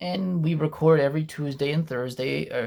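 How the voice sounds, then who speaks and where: Speaking at a fairly quick pace, a man with a non-native accent uses a fairly high pitch and ordinary pitch variation. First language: not English. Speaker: YouTuber and podcaster. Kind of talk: casual vlog monologue. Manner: conversational, with fillers.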